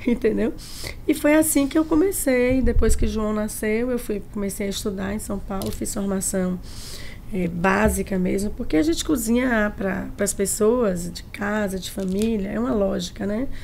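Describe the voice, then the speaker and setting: Lively intonation marks a woman's speech, heard with audible room echo and noticeable background noise. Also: medium pitch for a woman, moderate pace. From Bahia, Brazil (Tanquinho, countryside). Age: 60s. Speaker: chef. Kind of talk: podcast interview.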